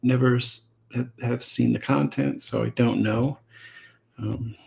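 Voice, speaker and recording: A soft-spoken man talks at a fairly slow pace. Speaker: comic artist and streamer. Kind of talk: casual live stream chat while drawing. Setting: live stream at drawing desk. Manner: halting, many fillers and repeats.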